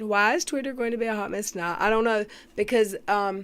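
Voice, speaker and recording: Recorded very cleanly over a silent background, a woman speaks at a fairly high pitch. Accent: Southern US. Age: 40s. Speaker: YouTube commentator. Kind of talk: live stream chat. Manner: slow; casual.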